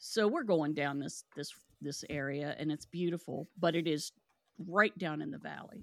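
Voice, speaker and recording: An unremarkable speaking voice with an American accent, at a moderate pace with ordinary pitch variation, on a very clean recording with a silent background and a dry, close sound with no echo. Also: woman. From West Virginia, Kanawha County. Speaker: paranormal podcast host. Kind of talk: casual interview chat.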